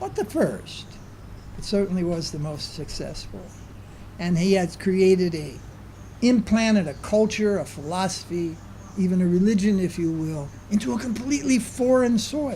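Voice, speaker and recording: High-pitched male speech with lively intonation, a moderate pace, long, frequent pauses and audible room echo. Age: 70s. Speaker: spiritual teacher. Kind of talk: lecture. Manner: conversational, with filler sounds.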